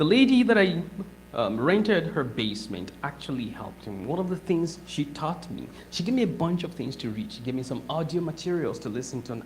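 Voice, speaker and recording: A moderate pace, a non-native accent, and noticeable background noise. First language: not English. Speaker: guest speaker. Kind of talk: talk to audience.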